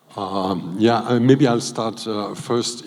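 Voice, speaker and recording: Noticeable noise sits in the background. The man's voice is at a medium pitch. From Switzerland. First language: not English (Swiss language). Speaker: diplomat. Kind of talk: panel discussion. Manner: halting.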